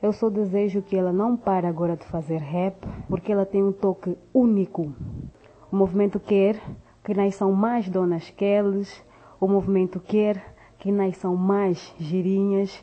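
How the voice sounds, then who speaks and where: A woman speaks at a fairly slow pace and medium pitch in a monotone, flat intonation. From Angola. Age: young. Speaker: rapper. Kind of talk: recorded tribute message.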